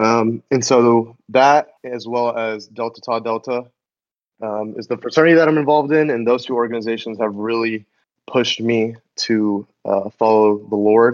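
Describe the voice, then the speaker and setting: A man with an American accent has an ordinary speaking voice. His pitch is medium and his intonation fairly even. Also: moderate pace. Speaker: podcast co-host, college student. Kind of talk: casual chat.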